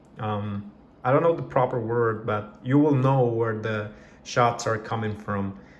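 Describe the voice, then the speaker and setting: Audible room echo hangs over speech at a fairly slow pace. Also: man. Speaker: product reviewer. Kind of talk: casual product review. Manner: hesitant, many fillers.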